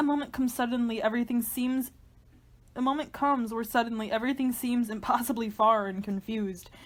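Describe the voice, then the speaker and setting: This woman has a normal speaking voice at a fairly high pitch. Her pitch variation is ordinary. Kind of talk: dramatic reading of a literary horror monologue. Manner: tense, intense, introspective.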